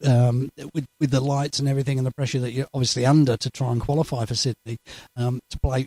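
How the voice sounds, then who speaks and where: A man talks at a very fast pace in a dark, mellow, medium-pitched voice, his intonation monotone and flat, the sound dry and close with no echo. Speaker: darts interviewer. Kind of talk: interview. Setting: darts tournament venue.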